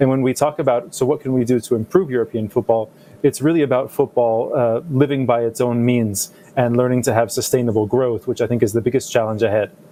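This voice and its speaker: Speaking very fast with a North American accent, a man keeps medium pitch, fairly even intonation and very even loudness over noticeable background noise. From United States. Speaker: football league executive. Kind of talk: panel discussion.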